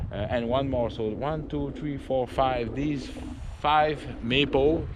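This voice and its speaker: A man with a Quebec French accent speaks at a very slow pace, with audible room echo and noticeable background noise. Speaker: outdoor vlogger. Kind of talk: casual vlog narration. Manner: halting.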